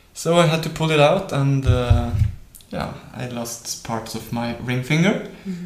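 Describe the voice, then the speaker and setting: With noticeable background noise and audible room echo, a man in a Norwegian accent talks at medium pitch, with ordinary variation and a fairly slow pace. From Norway. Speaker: professional guitarist. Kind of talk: interview.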